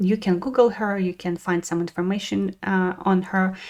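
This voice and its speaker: A woman with a Russian accent at a medium pitch, fairly even intonation, on a very clean recording with a silent background. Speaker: spiritual wellness podcaster. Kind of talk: casual podcast monologue. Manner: halting, many fillers.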